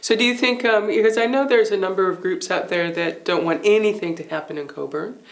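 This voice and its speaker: A woman speaks very fast with lively intonation while noticeable background noise runs underneath. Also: medium pitch for a woman, hardly any pauses. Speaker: interview host. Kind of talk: interview.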